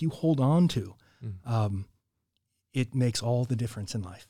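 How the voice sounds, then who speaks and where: With an American accent, a man of medium pitch talks at a fairly quick pace, his dark, mellow tone somewhat breathy and his pitch varying in an ordinary way, on a very clean recording with a silent background. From Southern California, Orange County. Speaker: church historian and podcaster. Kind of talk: casual interview conversation. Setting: studio.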